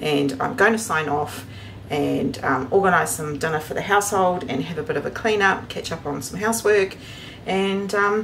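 A woman's voice at a moderate pace over light background noise. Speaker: homestead vlogger. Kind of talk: casual vlog chat. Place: kitchen. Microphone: phone near.

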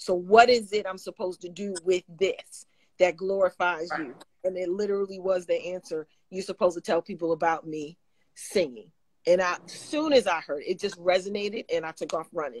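A woman talks at a fairly quick pace with ordinary pitch variation and big swings in loudness. The sound is dry with no echo. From New York. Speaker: gospel singer; guest. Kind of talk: casual chat. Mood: warm, animated testimony. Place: home room. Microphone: video call.

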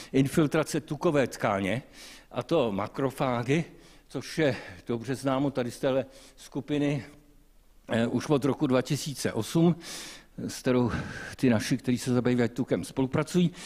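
The pace is fairly slow, with long, frequent pauses and ordinary pitch variation. The recording is very clean, with a silent background. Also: man. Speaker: medical professor. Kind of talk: lecture. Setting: stage with audience. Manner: animated.

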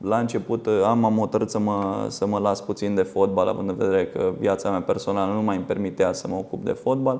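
With fairly low pitch and fairly even intonation, a man talks at a fairly quick pace. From Romania. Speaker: football coach and former lawyer; football coach, former lawyer. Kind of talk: studio interview. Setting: TV studio. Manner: halting, repeats words. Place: studio. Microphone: lapel.

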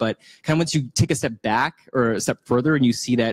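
A man speaks with ordinary pitch variation against a quiet background. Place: hall. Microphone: handheld.

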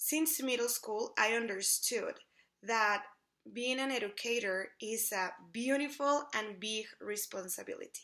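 Against a quiet background, a woman speaks at a fairly high pitch. Her tone is bright and sharp. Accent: Spanish. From Mexico City. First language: Spanish. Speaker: English teacher. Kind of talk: self-introduction video, scripted. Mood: warm, earnest, enthusiastic. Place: home room. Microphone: phone near.

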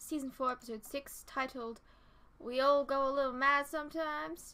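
A woman speaks in a raised, projected voice. Her tone is bright and sharp, and her pace is fairly slow. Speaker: TV reaction vlogger. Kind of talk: casual vlog chat. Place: home room. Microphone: earbuds.

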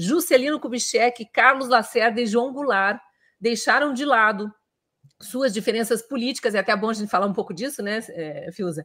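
Bright and sharp in tone, a woman's fairly high voice moves with ordinary pitch variation at a moderate pace. The background is quiet. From Brazil, Curitiba; Brazil. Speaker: interview show host, journalist. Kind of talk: interview, live broadcast. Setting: live video stream, simulcast on radio. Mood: warm, friendly. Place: home room. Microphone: earbuds.

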